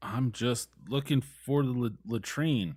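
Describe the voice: Doing a put-on character voice, a man drawls at a fairly slow pace with a medium pitch.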